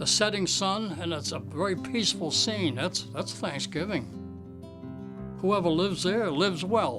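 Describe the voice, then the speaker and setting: With music in the background, a man at a fairly high pitch speaks at a fairly slow pace with hardly any pauses and very wide pitch swings. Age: 80s+. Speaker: watercolor painter and art teacher. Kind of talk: interview answer.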